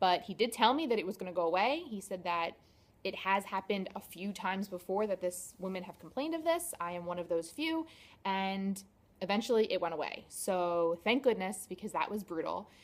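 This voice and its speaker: In a normal speaking voice, a woman at a medium pitch talks at a fairly quick pace with lively intonation on a very clean recording with a silent background. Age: 30s. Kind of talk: casual talk to camera.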